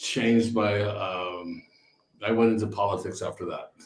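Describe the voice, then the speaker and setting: Somewhat breathy and fairly low in pitch, a man with a Californian accent speaks at a fairly slow pace. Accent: American, Californian. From Northern California, San Francisco area. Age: 60s. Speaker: winery owner. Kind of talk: casual chat. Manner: halting, many repeated words.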